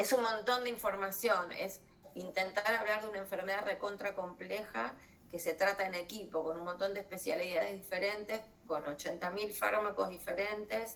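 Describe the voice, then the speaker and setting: Audible room echo and noticeable background noise surround a woman's voice. She speaks at a medium pitch and a moderate pace with fairly even intonation. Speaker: doctor giving a lecture. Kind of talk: online lecture. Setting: video call.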